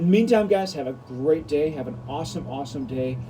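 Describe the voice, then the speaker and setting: A man speaks at a fairly high pitch with ordinary pitch variation. Music plays in the background, and the room echo is audible. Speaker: pastor. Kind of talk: devotional video talk. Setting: outdoors. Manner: fast, mumbling; louder than usual.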